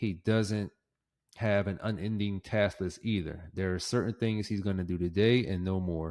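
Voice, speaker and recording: Using an ordinary speaking voice, a man speaks at a moderate pace and fairly low pitch with fairly even intonation. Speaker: podcast host. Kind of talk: casual solo podcast monologue. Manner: casual, filler-heavy.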